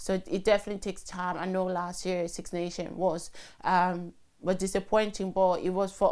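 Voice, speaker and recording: A woman talks in a monotone, flat intonation. Music plays in the background. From Cameroon. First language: French. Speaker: rugby player and nurse. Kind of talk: interview. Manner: hesitant, with many fillers.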